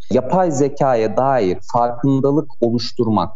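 Speaking fairly slowly, the man is heard with audible room echo and noticeable background noise around him. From Turkey, Ankara. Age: 30s. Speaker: AI association board member and doctoral student. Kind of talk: radio interview.

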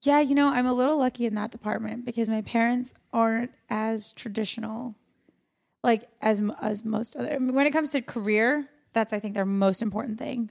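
A woman's fairly high voice with an American accent, fairly even intonation and a fairly quick pace. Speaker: actress and comedian. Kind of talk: casual chat. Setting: studio.

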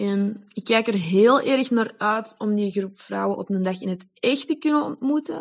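In an ordinary speaking voice, a woman talks at a fairly slow pace with a fairly high pitch against a quiet background. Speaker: member of a women's circle. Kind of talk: personal testimony.

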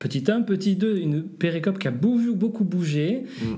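A man with a slight southern French accent talks in a room with audible echo. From southern France. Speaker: pastor and New Testament scholar. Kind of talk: interview on biblical textual criticism. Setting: borrowed office at a church union headquarters.

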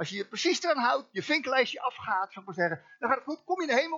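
A man speaks in an animated tone. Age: 60s. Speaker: guest preacher. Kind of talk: sermon. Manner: informal, animated; halting with repetitions.

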